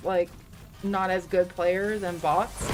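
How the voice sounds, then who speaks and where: Over music in the background, a woman with a Canadian accent talks at a fairly slow pace. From Canada, Toronto area, Ontario. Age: 30s. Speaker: gaming streamer. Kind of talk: casual live-stream chat.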